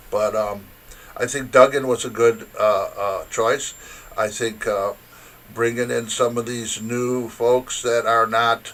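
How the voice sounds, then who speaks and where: With a Michigan accent, a man speaks at a very slow pace. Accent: Midwestern US (Michigan). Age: 70s. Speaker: interview guest. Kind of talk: casual interview. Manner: halting, many fillers.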